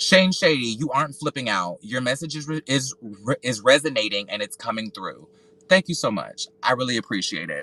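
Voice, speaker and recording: Loud man with a bright, sharp tone and lively intonation, in a dry, close sound with no echo. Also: medium pitch for a man, moderate pace. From US South (North Carolina, Georgia). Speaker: solo podcaster and reality TV commentator. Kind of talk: casual commentary livestream. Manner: halting, repeats words.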